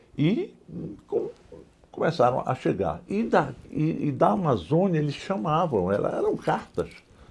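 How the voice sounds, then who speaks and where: Noticeable background noise runs through the clip. A man talks fairly slowly. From northern Brazil, Pará (Alenquer). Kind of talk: oral history interview. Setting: museum interview. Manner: halting, many fillers and repetitions.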